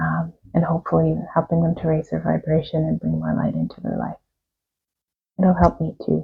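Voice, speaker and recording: A soft-spoken woman in a calm tone, with long, frequent pauses. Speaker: tarot reader and reiki practitioner. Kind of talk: guided meditation. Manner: calm, slow.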